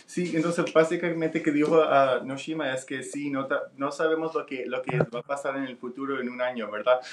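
The speech flows with hardly any pauses and fairly even intonation over noticeable background noise. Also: man, fairly high pitch for a man. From Nicaragua. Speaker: vaccine researcher and interpreter. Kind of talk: live radio interview with interpreting. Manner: halting with many fillers.

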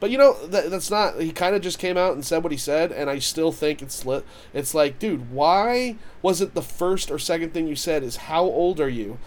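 A man with a high voice keeps a moderate pace, his intonation lively. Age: 30s. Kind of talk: casual chat.

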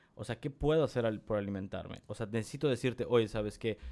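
A man with a plain, everyday voice of medium pitch talks at a fairly quick pace with ordinary pitch variation. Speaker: podcast co-host. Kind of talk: casual chat.

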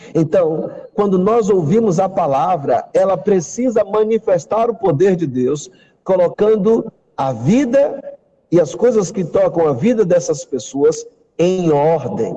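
Speaking at a very slow pace, this man has a high pitch, a dark, mellow tone and lively intonation. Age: 40s. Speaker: pastor. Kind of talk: testimony; sermon.

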